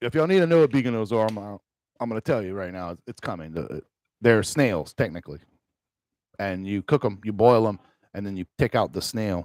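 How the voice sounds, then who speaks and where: Speaking with a Cajun accent, a man moves at a fairly quick pace with lively intonation, big swings in loudness and long, frequent pauses, in a dry, close sound with no echo. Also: very clean recording, silent background. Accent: Cajun Louisiana English. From Louisiana Cajun country. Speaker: gaming streamer. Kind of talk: casual live stream chat. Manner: rambling casual with many fillers.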